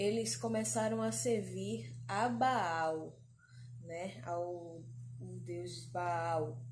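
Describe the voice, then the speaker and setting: A woman speaks at a very slow pace. Room echo is audible. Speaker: preacher. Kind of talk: sermon. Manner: halting.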